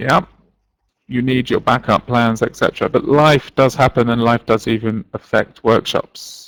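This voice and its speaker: The sound is dry and close, with no echo. A man speaks with fairly even intonation and very even loudness. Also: medium pitch for a man. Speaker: teacher trainer. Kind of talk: live online workshop. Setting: live online webinar. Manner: fast.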